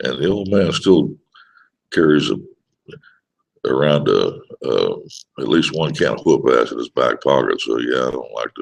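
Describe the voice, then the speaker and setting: At a moderate pace, a man talks with long, frequent pauses. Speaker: online show host, musician. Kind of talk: casual live-stream monologue. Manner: halting, many fillers.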